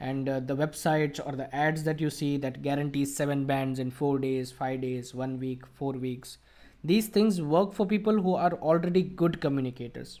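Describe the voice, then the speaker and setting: In an Indian accent, a man speaks at a moderate pace with a fairly high pitch, ordinary pitch variation and a dark, mellow tone. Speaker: IELTS coach. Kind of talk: live Q&A teaching session. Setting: online video call, live stream.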